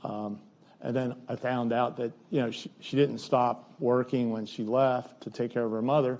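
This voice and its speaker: Speaking at a moderate pace, a man holds a medium pitch in a monotone, flat intonation. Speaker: nursery owner and lecture speaker. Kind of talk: lecture. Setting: lecture hall with audience. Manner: loud; halting, many fillers.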